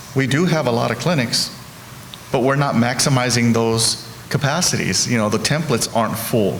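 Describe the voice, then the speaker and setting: The speaker keeps a moderate pace, very even loudness and ordinary pitch variation. Noticeable background noise and audible room echo are present. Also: man, medium pitch for a man. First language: Spanish. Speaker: healthcare executive. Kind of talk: panel discussion. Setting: stage with audience.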